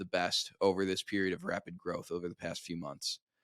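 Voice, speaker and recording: The recording is very clean, with a silent background. A man with an American accent talks at a fairly quick pace. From US Midwest (Crown Point, Indiana). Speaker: content agency owner. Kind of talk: podcast interview. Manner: casual, filler-heavy.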